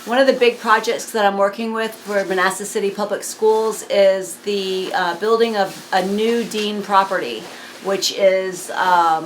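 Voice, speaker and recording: A woman speaks at a fairly slow pace, her pitch medium and her intonation fairly even. Noticeable background noise runs under her voice. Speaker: school board member interviewer. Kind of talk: oral history interview questions.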